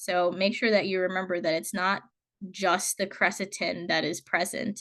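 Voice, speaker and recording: Against a quiet background, a woman talks at a medium pitch in a dry, close sound with no echo. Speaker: college biology instructor. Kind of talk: lecture. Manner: fast; casual, filler-heavy.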